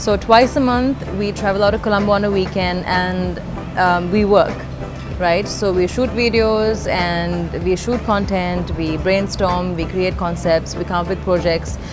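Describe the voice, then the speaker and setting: Speech unfolds at a fairly slow pace. Music plays in the background. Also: woman. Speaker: fitness vlogger. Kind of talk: casual vlog chat. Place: cafe.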